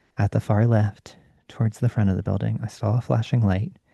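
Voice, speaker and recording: A man's somewhat breathy voice with a dark, mellow tone, a calm tone and fairly even intonation, in a dry, close sound with no echo. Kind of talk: bedtime story reading, ASMR. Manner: soft-spoken, calm.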